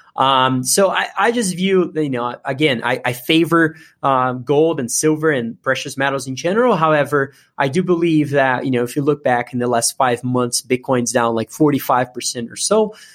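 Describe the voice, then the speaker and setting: At a moderate pace with hardly any pauses, a man talks in a fairly high voice with a Portuguese accent. His pitch variation is ordinary. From Brazil. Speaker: investment analyst. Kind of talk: interview. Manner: halting, many fillers and repetitions.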